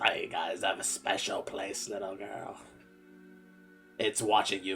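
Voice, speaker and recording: Over clear music in the background, a man speaks softly in a put-on character voice. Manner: gently ominous.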